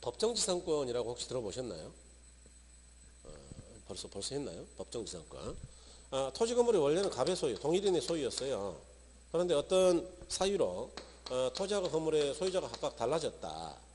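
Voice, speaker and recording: Someone speaks at a moderate pace with long, frequent pauses in a room with audible echo. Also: man. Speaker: real estate law lecturer. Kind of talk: lecture.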